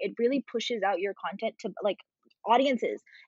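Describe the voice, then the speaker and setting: A woman with an American accent and an ordinary speaking voice talks at a fairly quick pace, fairly high in pitch with lively intonation. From India and New Jersey. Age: 20s. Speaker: content creator and coder. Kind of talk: casual chat.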